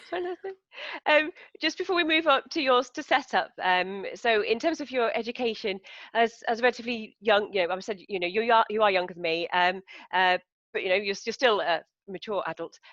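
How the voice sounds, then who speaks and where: A woman with a British accent talks at a fairly quick pace in a fairly high pitch with very wide pitch swings, in a dry, close sound with no echo and a quiet background. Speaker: interviewer. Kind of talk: interview. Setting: video call.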